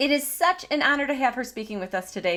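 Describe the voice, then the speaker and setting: A woman with a slight Michigan accent speaks in a high, raised and projected voice, her tone animated and her pitch swinging very widely. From Michigan, US Midwest. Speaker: podcast host. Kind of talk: casual chat; scripted show intro.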